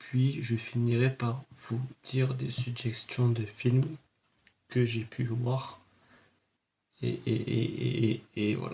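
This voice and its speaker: Somewhat breathy and dark, mellow in tone, a man speaks at a very slow pace in a monotone, flat intonation with long, frequent pauses. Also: medium pitch for a man. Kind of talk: casual talk to camera, film review.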